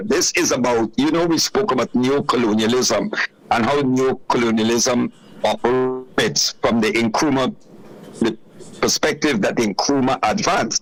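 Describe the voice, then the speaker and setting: Amid noticeable background noise, a man talks fairly slowly at a medium pitch with lively intonation. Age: 70s. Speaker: political commentator. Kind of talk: radio interview. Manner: animated.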